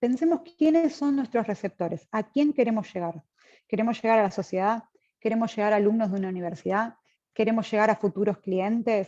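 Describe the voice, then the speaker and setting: A woman speaks at a moderate pace in a fairly high voice with a dark, mellow tone and lively intonation. The sound is dry and close with no echo, against a quiet background. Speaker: seminar speaker. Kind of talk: lecture.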